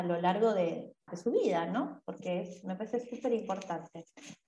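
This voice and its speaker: Keeping a moderate pace, a woman speaks in an ordinary speaking voice with ordinary pitch variation. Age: 30s. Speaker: podcast host and dance teacher. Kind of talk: interview.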